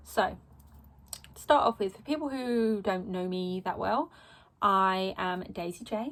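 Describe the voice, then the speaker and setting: A woman with an Essex accent speaks with lively intonation, big swings in loudness and long, frequent pauses, in a very clean recording with a silent background. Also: medium pitch for a woman, fairly slow pace. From England, Essex. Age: 20s. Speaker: vlogger. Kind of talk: personal vlog monologue. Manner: rambling, hesitant with many ums.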